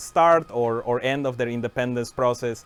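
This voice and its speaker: The man speaks with a Spanish accent at a medium pitch. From Mexico (Mérida, Yucatán). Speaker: software engineering manager, stream co-host. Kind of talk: casual livestream chat. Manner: hesitant, many fillers.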